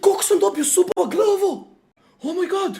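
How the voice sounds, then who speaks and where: A man's excited voice at an extremely high pitch, moderate pace, with a Serbian accent. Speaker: streamer. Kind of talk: live stream. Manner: excited shouting.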